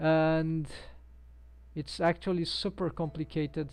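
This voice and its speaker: A woman is speaking. She has a Brazilian accent. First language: Portuguese. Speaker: 3D animator and live streamer. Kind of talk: live-stream tutorial. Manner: halting, many fillers. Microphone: headset built-in microphone.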